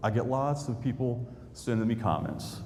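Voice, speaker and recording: An animated man with an American accent, in audible room echo. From central Indiana, suburb of Indianapolis. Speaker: history YouTuber. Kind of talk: public talk. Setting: stage with audience. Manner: animated storytelling.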